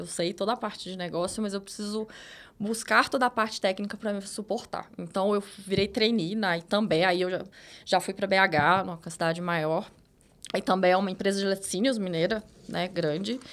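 A woman with a normal speaking voice talks at a fairly quick pace, her pitch medium and varying in an ordinary way. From Minas Gerais countryside, Brazil. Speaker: data manager. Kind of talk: interview.

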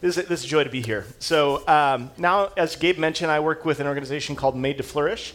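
A man speaks at a fast pace with fairly high pitch. His tone is fairly bright. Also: ordinary pitch variation.

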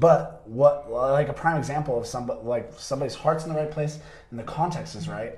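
This raspy, put-on character voice moves at a moderate pace with big swings in loudness. Light background noise is audible. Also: man, fairly high pitch for a man. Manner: wrestler-like.

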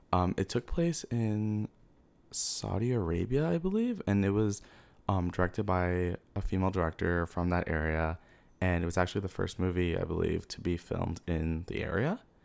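Speaking with an American accent at a moderate pace and with ordinary pitch variation, the voice comes through on a very clean recording with a silent background. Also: man, very deep, low pitch for a man. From Queens, New York City. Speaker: film fan. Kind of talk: casual chat.

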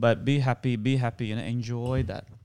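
A man with a Sri Lankan accent speaks at a moderate pace in a medium pitch, his intonation fairly even and his tone dark and mellow. The recording is very clean, with a silent background. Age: 30s. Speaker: actor. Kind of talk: casual interview chat.

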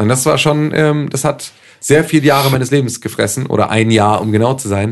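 An unremarkable speaking voice moves fairly quickly, with ordinary pitch variation. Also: man, medium pitch for a man. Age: 20s. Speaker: podcast host. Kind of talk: casual chat.

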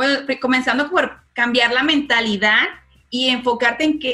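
Her pitch is high, with ordinary pitch variation. The woman talks at a moderate pace. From Venezuela. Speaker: guest sharing fitness experience. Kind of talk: casual chat.

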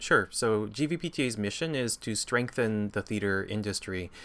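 In a western Canadian accent, a man talks with a fairly low pitch on a very clean recording with a silent background. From Campbell River, British Columbia, Canada. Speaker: theatre alliance leader. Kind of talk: interview. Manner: halting, many fillers.

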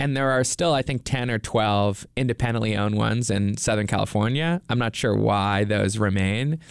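An ordinary speaking voice belongs to a man with a fairly low pitch and ordinary pitch variation. He talks at a moderate pace in a very clean recording with a silent background. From Nova Scotia, Canada. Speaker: documentary filmmaker. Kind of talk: interview.

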